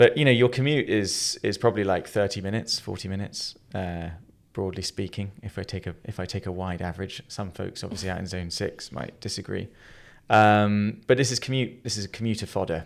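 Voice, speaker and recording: A fairly quick voice with a London accent and ordinary pitch variation on a very clean recording with a silent background. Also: man, fairly low pitch for a man. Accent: English (London area). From England. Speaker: podcast host, company CEO. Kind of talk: casual podcast chat.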